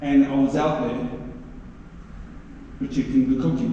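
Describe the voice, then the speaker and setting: With a New Zealand accent, a man speaks at a medium pitch with ordinary pitch variation, with audible room echo and noticeable background noise around him. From New Zealand, East Coast (Māori). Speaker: actor. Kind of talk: convention Q&A storytelling. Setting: stage with audience. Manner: animated.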